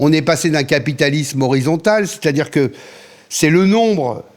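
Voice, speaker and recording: A normal speaking voice from a man, fairly high in pitch, at a moderate pace with ordinary pitch variation. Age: 60s. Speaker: radio programming director. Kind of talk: interview. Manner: fillers and repetitions.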